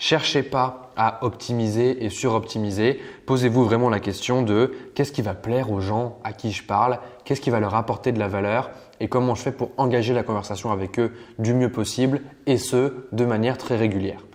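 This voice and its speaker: A man's medium-pitched voice with fairly even intonation against a quiet background. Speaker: online marketing trainer. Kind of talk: tutorial. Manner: fast.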